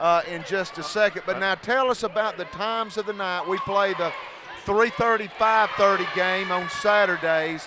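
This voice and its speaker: A man's raised, projected voice, high-pitched and fairly even in intonation, at a moderate pace in an American accent, with noticeable background noise. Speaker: play-by-play broadcaster. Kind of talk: live sports commentary with interview. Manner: emotional, screaming during plays.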